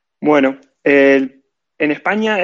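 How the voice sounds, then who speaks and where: This man's voice is fairly high-pitched, with an Argentine accent. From Argentina. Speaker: event organizer, programmer. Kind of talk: casual interview chat.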